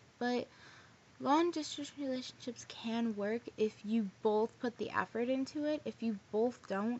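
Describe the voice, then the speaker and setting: At a very slow pace, a woman talks in a fairly high pitch with ordinary pitch variation. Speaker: vlogger. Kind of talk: casual vlog storytelling. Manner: rambling casual, many fillers.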